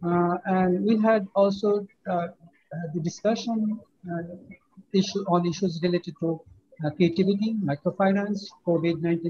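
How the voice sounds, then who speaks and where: A man's high-pitched voice at a moderate pace, with fairly even intonation. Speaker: academic reporting at forum closing. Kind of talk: formal report speech. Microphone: video call.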